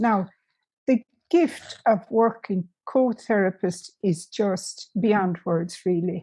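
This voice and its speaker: A woman's somewhat breathy, dark and mellow voice in an Irish accent, medium in pitch with ordinary pitch variation, at a very slow pace. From Ireland. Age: old. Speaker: music therapist, nun. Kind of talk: interview answer.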